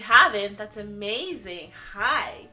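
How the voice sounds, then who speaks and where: With music in the background and audible room echo, a woman speaks in a fairly high voice with fairly even intonation. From Canada. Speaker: vlogger and makeup artist. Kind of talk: casual vlog introduction. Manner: casual, lots of fillers.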